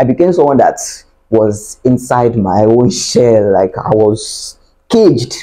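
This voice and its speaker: A man's voice with a dark, mellow tone comes through over a quiet background. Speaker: vlogger giving relationship advice. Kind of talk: casual vlog chat. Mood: earnest, animated storytelling. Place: home room. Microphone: lapel.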